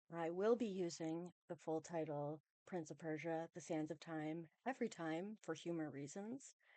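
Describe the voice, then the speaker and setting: A soft-spoken woman with a fairly low pitch talks at a moderate pace with hardly any pauses and ordinary pitch variation, in a dry, close sound with no echo. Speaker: video game movie commentator. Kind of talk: casual video essay commentary.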